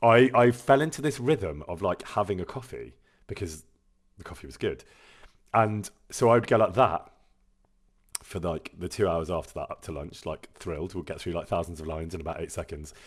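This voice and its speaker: Talking at a fairly quick pace, a man with a very deep, low voice uses lively intonation, big swings in loudness, and long, frequent pauses. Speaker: voice actor streaming a video game. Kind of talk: casual chat. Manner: fast.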